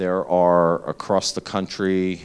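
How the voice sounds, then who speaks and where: A man with a very deep, low pitch and an eastern Pennsylvania accent, in a very clean recording with a silent background. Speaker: healthcare emergency preparedness executive. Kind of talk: lecture. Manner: loud.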